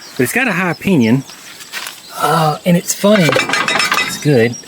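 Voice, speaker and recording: A man's voice, with ordinary pitch variation, is heard against noticeable background noise. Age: middle-aged. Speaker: Jeep collector and YouTuber. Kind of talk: casual walkthrough narration.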